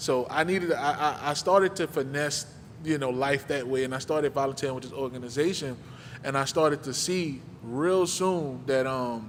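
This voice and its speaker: There's audible room echo as a man with a fairly high pitch speaks at a moderate pace with ordinary pitch variation. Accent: American. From New Orleans, Louisiana. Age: 30s. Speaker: guest speaker, community mentor. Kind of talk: personal testimony talk at a church service. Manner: casual, conversational.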